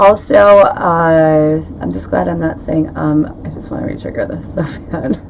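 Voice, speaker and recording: The recording carries audible room echo, noticeable background noise and big swings in loudness. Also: woman. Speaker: paranormal investigator and podcast host. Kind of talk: live-streamed casual podcast chat. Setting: live stream from home speakeasy room. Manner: fast.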